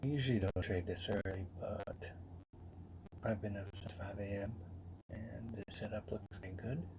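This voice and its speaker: Somewhat breathy, a man with a fairly low pitch and fairly even intonation speaks with long, frequent pauses. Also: moderate pace. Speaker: day trader. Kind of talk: live trading commentary. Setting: home office. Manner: soft-spoken. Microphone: new bluetooth mic, poor audio.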